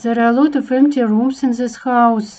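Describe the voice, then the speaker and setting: A woman puts on a character voice. It sits high in pitch. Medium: machinima. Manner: polite, smooth, coaxing.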